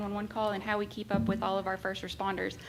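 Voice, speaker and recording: Music plays behind a woman speaking at a very fast pace. Her pitch sits in the medium range. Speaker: 911 director. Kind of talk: public meeting report. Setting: county government meeting.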